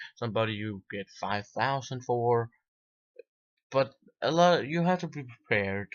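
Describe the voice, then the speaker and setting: Speaking with a non-native accent, a man at medium pitch moves at a fairly slow pace with long, frequent pauses and lively intonation. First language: not English. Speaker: video game reviewer. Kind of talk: casual video review. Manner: halting, with false starts.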